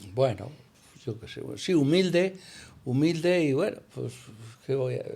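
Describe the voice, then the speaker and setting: A man speaks at a fairly high pitch with lively intonation and a dark, mellow tone. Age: 60s. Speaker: hotel owner. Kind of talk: interview. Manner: halting, many fillers.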